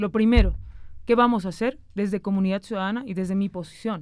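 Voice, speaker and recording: A woman's fairly quick delivery, dry with no echo, over a quiet background. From Bolivia, Cochabamba; Bolivia. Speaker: senator. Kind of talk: political interview. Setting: studio. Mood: serious, explanatory. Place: studio. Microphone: studio mic.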